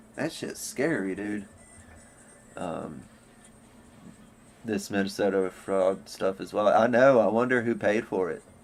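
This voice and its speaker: Music plays in the background as a man with a fairly low pitch talks at a fairly slow pace, using ordinary pitch variation and long, frequent pauses. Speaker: livestreamer. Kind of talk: casual livestream chat. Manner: casual, rambling with fillers.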